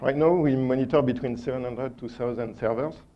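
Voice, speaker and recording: A man at a medium pitch and moderate pace, with fairly even intonation and a strong French accent, amid audible room echo. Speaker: conference speaker, operations engineer. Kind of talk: conference presentation. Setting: stage with audience. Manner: halting, many fillers.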